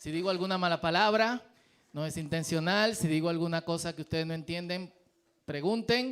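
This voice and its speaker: Talking fairly quickly, a man uses a high voice with ordinary pitch variation. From Dominican Republic. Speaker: pastor. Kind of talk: sermon. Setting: church.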